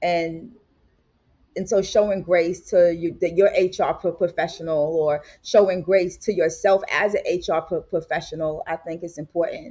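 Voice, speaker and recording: A woman speaks at a moderate pace. Her pitch is fairly low and her intonation fairly even. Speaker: HR executive. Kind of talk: podcast interview. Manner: loud.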